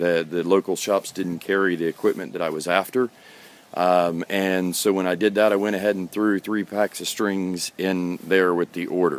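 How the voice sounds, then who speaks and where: A man speaks at a moderate pace with a very deep, low pitch. His intonation is fairly even, and the sound is dry with no echo. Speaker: guitarist and video blogger. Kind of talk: casual rant to camera. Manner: hesitant, many fillers. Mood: earnest, mildly ranting. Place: garden. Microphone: phone near.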